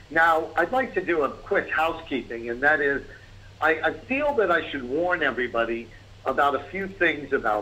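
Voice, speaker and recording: The speaker has a New York accent and a moderate pace. The pitch swings very widely. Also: man. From New York, the Bronx. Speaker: business consultant. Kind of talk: webinar presentation.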